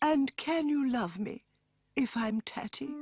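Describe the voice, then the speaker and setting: A cartoonish, female-sounding character voice, anxious in tone, high-pitched for a woman and fairly slow. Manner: soft, anxious.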